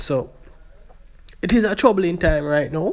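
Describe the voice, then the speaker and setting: A man with a Jamaican accent at a fairly quick pace, with ordinary pitch variation. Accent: Jamaican English with patois features. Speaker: YouTube vlogger. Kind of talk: casual vlog commentary. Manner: halting.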